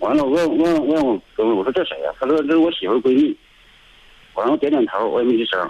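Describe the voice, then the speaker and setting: A man is talking. His delivery is fairly quick. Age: 30s. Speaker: caller. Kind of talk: phone-in call. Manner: halting, repetitive.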